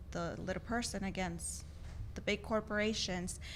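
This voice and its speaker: Here a woman talks at a moderate pace with a medium pitch. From Texas, El Paso. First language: Spanish. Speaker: associate attorney. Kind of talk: interview.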